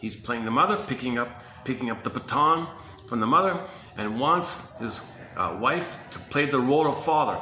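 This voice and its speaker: A man talks with lively intonation over noticeable background noise, with audible room echo. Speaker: compiler of therapy quotes, video presenter. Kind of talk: casual talk-to-camera monologue. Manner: fast, enthusiastic.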